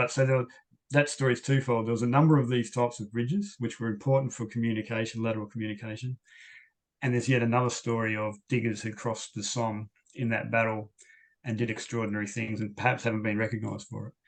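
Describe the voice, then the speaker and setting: Speaking at a very fast pace with an Australian accent, a man with a medium pitch keeps a flat, monotone intonation against a quiet background. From Western Australia. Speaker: historian. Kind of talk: Q&A after lecture. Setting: video call.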